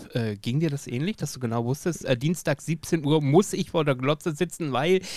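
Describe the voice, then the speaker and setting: On a dry, close recording with no echo, a man with an ordinary speaking voice talks at a fairly high pitch and a moderate pace, with ordinary pitch variation. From Lower Saxony, Germany. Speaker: podcast host. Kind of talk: casual interview.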